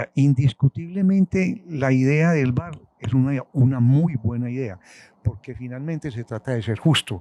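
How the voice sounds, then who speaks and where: A man with a Colombian accent, medium pitch, a dark, mellow tone and lively intonation, at a moderate pace, with a dry, close sound and no echo. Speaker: retired football referee. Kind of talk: interview answer.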